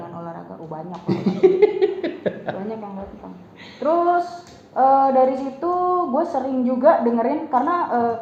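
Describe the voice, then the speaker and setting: Against noticeable background noise, the voice moves at a moderate pace with very wide pitch swings, big swings in loudness, and long, frequent pauses. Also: woman, high pitch for a woman. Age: young. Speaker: voice-over talent. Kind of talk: interview answer. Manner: casual, chatty.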